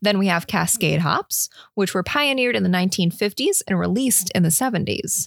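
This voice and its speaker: A woman's medium-pitched voice with vocal fry and lively intonation, fairly quick and very even in loudness, on a very clean recording with a silent background. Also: dry, close sound with no echo. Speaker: beer podcast co-host. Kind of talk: casual chat. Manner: laughs often.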